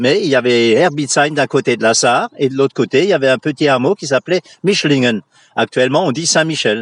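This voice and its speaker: The sound is dry and close with no echo as a man with a fairly high pitch talks at a fairly quick pace, his pitch varying in an ordinary way. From Moselle, France (Franconian dialect area). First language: Franconian dialect (Platt) (speaking French). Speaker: local history enthusiast and fort guide. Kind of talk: radio interview. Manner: hesitant, many fillers.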